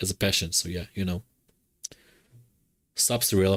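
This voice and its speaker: A man with a very deep, low pitch talks at a moderate pace in a dry, close sound with no echo, on a very clean recording with a silent background. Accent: strong non-native. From Israel. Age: 30s. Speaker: streamer. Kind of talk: casual chat. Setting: live stream. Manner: monotone.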